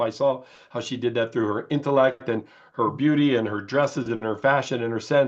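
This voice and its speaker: Against a quiet background, a man speaks fairly quickly in a plain, everyday voice of medium pitch with ordinary pitch variation. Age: 60s. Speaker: beauty company founder. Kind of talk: interview.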